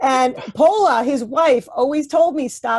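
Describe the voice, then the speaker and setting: A woman with a New York accent is heard on a very clean recording with a silent background and a dry, close sound with no echo. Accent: New York American. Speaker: professor. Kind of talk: Q&A answer after a lecture. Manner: fast.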